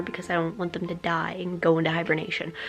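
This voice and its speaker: A woman's medium-pitched voice at a very fast pace amid noticeable background noise. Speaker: hamster vlogger. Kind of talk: casual vlog. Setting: at home.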